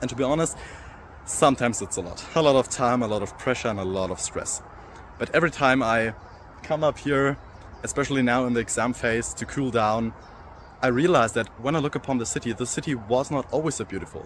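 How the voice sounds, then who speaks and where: A man speaks at a medium pitch with a German accent. His pace is fairly quick, and his pitch varies in an ordinary way. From Germany (Erlangen, Franconia). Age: young. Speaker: law student. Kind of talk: application video speech. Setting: outdoors overlooking city.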